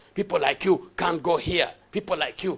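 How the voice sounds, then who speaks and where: A man speaks at a moderate pace. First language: not English. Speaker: pastor. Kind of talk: sermon. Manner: halting, repeats words; emphatic preaching.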